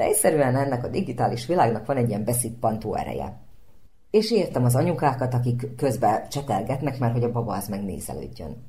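A woman's very deep, low, somewhat breathy voice with a dark, mellow tone, very fast pace, lively intonation and audible room echo. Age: young. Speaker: speech therapist and actress. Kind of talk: radio interview.

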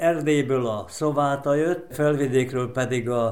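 A man at a medium pitch and fairly slow pace, with audible room echo and noticeable background noise. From Vojvodina, Serbia. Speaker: sports event organizer. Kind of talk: interview.

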